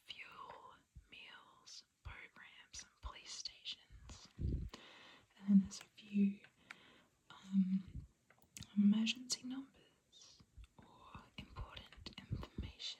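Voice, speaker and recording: The speaker is whispering. Long pauses come often. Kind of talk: ASMR brochure reading. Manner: whispered.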